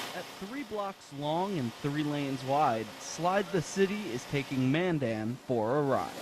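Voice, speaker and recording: A man talks with hardly any pauses, his pitch fairly high and his intonation lively. Background noise is noticeable throughout. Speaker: TV news reporter. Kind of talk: broadcast news reporter delivery.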